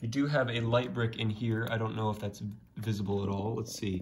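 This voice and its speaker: A somewhat breathy man talks at a fairly quick pace and medium pitch, his intonation fairly even, with light background noise. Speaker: YouTuber giving a room tour. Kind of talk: casual video narration. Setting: home basement. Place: home room. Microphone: phone near.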